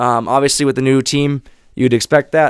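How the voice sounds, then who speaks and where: A man with an Upper Midwest accent, in a dry, close sound with no echo. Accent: Upper Midwest (Minnesota). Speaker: sports podcast host. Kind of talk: solo sports commentary podcast. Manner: animated.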